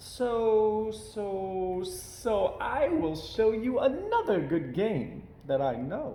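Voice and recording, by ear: In a put-on character voice, a man talks very slowly with a high pitch, big pitch swings and a dark, mellow tone, and the room echo is audible.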